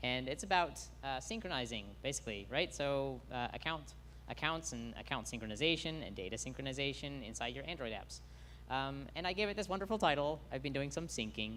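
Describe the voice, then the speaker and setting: A man's voice with an American accent and audible room echo. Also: fairly quick pace. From United States. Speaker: conference speaker, app developer. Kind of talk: technical talk to a conference audience. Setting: stage with live audience. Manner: hesitant, many fillers.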